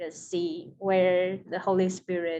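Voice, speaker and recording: This is a woman with a Taiwanese accent. Her pitch is medium. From Taiwan, Taipei. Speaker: seminary student. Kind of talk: interview.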